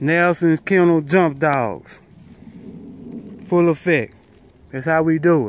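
In a dry sound with no echo, a man speaks with fairly even intonation. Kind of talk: casual hunting commentary. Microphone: phone near.

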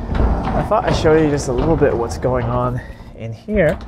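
A man talks as noticeable background noise carries on throughout. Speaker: car enthusiast vlogger. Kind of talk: casual vlog chat. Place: open country. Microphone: lapel.

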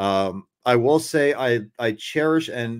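This is an ordinary speaking voice with ordinary pitch variation. The recording is very clean, with a silent background. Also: man. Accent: American. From New Jersey. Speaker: podcast host. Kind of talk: casual chat.

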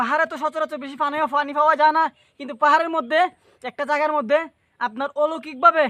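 In dry, close sound with no echo, a man projects a raised voice at an extremely high pitch with a bright, sharp tone, fairly even intonation and big swings in loudness. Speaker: video vlogger. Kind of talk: casual vlog narration. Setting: outdoors. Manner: halting.

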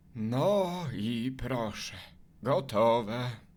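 A man performs a put-on character voice at a medium pitch. The recording is very clean, with a silent background. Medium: fan dub.

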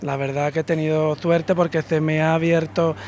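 A man's high-pitched voice with an Andalusian accent and fairly even intonation, dry with no echo, over light background noise. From Andalusia, Spain. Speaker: painter; interviewee. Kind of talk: interview. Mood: grateful, pleased. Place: cafe. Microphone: handheld.

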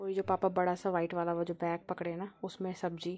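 With a dark, mellow tone, a woman talks at a moderate pace in a monotone, flat intonation. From Uttarakhand, Pauri Garhwal; Uttarakhand. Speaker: vlogger. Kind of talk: travel vlog narration. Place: open country. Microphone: phone near.

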